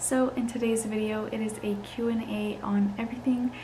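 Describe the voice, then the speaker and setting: Soft-spoken at a moderate pace, the voice keeps fairly even intonation amid noticeable background noise and audible room echo. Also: woman. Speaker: lifestyle vlogger, new mom. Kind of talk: casual Q&A vlog. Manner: casual, filler-heavy.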